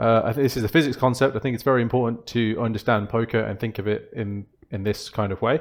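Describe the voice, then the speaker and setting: A man speaks with a Birmingham accent. His pace is very fast. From Birmingham, England. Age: 20s. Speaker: poker coach. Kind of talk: tutorial.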